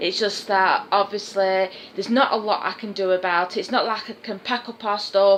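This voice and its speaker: At a moderate pace, a woman with a Lancashire accent speaks at medium pitch in a monotone, flat way. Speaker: vlogger. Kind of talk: casual vlog. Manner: quiet; hesitant, many fillers.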